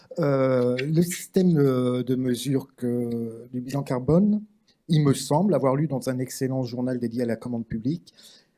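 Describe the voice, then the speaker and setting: Medium male pitch, fairly slow pace and ordinary pitch variation from a man. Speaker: round table moderator. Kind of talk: panel discussion moderation. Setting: conference with live interpretation. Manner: slow, deliberate for translators.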